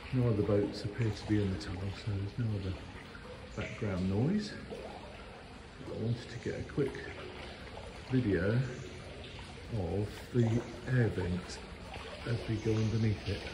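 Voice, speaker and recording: Speaking at a moderate pace with long, frequent pauses, a man is heard over noticeable background noise. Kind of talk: casual vlog chat. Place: tunnel cave. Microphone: phone near.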